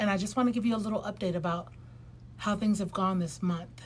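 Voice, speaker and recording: Somewhat breathy, a woman's voice comes through at a medium pitch. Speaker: lifestyle vlogger. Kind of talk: casual vlog monologue. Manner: hesitant, many fillers.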